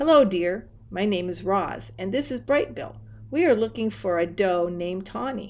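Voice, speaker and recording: A woman uses a put-on character voice at medium pitch. She talks at a moderate pace. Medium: read story. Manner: polite, plain and factual.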